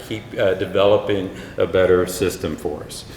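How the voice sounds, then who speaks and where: Noticeable background noise and audible room echo surround the audio. A man with a Texan accent speaks at a moderate pace. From Texas, Houston area. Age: middle-aged. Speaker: health insurance executive. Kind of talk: keynote speech.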